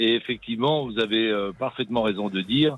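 An ordinary speaking voice, a man's, medium in pitch and moderate in pace. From Berry, central France. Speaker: restaurant chef. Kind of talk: radio interview.

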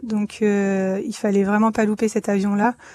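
Speaking at a moderate pace, a woman with a fairly high pitch and a dark, mellow tone keeps a monotone, flat intonation, her sound dry and close with no echo and the background quiet. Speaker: emergency doctor. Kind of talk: testimony.

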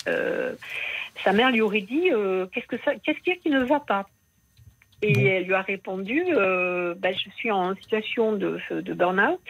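A woman's voice with very wide pitch swings and long, frequent pauses. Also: medium pitch for a woman, moderate pace. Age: 60s. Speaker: radio caller. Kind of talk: phone-in testimony. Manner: halting.

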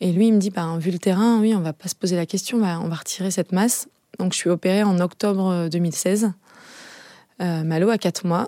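A woman speaks in a dark, mellow tone with fairly even intonation. The recording is very clean and the background silent. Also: medium pitch for a woman, moderate pace, dry, close sound with no echo. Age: 30s. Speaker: mother with cancer. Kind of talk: testimony.

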